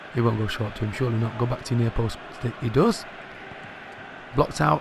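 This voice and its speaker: Noticeable background noise surrounds the recording. A man speaks quietly at a very fast pace. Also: medium pitch for a man, ordinary pitch variation. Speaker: gaming youtuber. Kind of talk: live gameplay commentary. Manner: animated.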